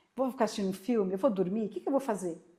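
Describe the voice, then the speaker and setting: A woman's dark, mellow tone at medium pitch, with ordinary pitch variation. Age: 60s. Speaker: podcast host. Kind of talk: podcast interview chat.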